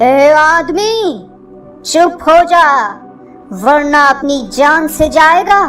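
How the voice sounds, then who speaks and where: A cartoonish character voice, female-sounding and extremely high-pitched, moves at a very slow pace. Long, frequent pauses break it up while clear music plays in the background. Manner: menacing.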